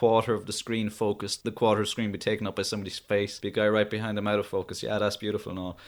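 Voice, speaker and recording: A man with a Cork accent speaks at a medium pitch. The recording is very clean, with a silent background. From Ireland, Cork. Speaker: podcast co-host, film reviewer. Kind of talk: casual chat.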